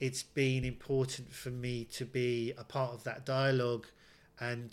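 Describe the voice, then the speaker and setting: This man speaks with an English accent and a medium pitch. His pace is fairly slow. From England. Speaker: actor. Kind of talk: casual chat.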